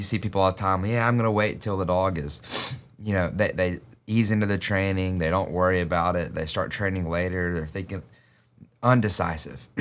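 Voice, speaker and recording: A man's very deep, low voice in a Southern US accent, fairly quick in pace, with fairly even intonation. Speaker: dog trainer podcast host. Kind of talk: casual chat.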